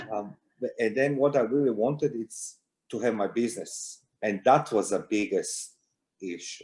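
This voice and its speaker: A man with a Croatian accent speaks at a moderate pace in a medium-pitched voice. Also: ordinary pitch variation, very clean recording, silent background. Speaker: security intelligence consultant, war veteran. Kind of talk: interview.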